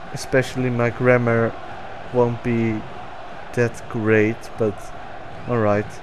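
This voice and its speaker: Over noticeable background noise, a man with a Dutch accent speaks very slowly at a medium pitch, with monotone, flat intonation and long, frequent pauses. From Netherlands. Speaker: gaming YouTuber. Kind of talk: gameplay commentary. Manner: hesitant, many fillers.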